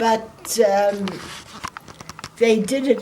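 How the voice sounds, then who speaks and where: A woman with a fairly high pitch and ordinary pitch variation is heard over noticeable background noise. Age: 80s+. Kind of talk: interview answer.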